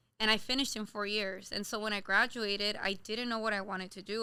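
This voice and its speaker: This woman has an American accent and a bright, sharp tone at a medium pitch. She talks at a fairly quick pace with fairly even intonation. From Los Angeles area, California. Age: 20s. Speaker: small business owner, baker. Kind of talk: casual interview chat.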